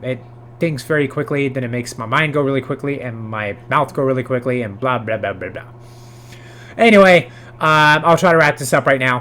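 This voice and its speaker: At a fairly quick pace, a man speaks in a bright, sharp tone at medium pitch with ordinary pitch variation. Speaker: music video creator. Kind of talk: casual educational monologue. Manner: filler-heavy, hesitant.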